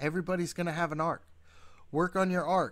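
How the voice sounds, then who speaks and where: A man's voice on a very clean recording, silent background. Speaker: gaming tutorial youtuber. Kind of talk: tutorial. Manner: halting, frequent fillers; rambling.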